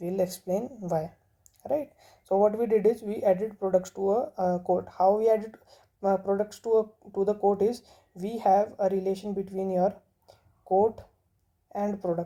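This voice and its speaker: A woman with a medium-pitched voice and a dark, mellow tone speaks with fairly even intonation and long, frequent pauses. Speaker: programming tutorial teacher. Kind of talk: tutorial. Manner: slow.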